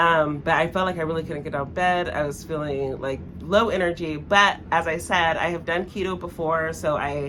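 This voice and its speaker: A woman speaks with a fairly low pitch and fairly even intonation, hardly pausing at all. Some room echo can be heard. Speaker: burlesque performer and vlogger. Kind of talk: casual vlog talk to camera. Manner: fast; hesitant, many fillers.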